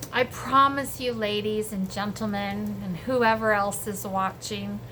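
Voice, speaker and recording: There is audible room echo around this woman. She speaks at a very slow pace. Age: 60s. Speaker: home cooking vlogger. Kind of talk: casual cooking tutorial. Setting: home kitchen. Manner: animated.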